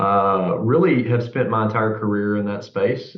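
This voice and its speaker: Delivered at a moderate pace, the speech has fairly even intonation and a Southern US accent. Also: man. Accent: noticeable Southern US. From US South, Central Arkansas. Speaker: executive MBA student. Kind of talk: webinar panel discussion.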